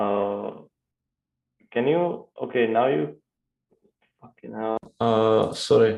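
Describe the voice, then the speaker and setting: With a Russian accent, a man of medium pitch talks at a very slow pace, using lively intonation, big swings in loudness and long, frequent pauses. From Czech Republic. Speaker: crypto trader. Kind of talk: casual chat. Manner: halting, many fillers.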